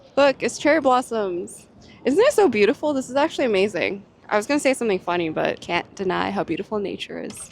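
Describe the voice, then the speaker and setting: With lively intonation and a fairly quick pace, a woman speaks as noticeable background noise comes through. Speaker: lifestyle vlogger. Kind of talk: casual chat. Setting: outdoors.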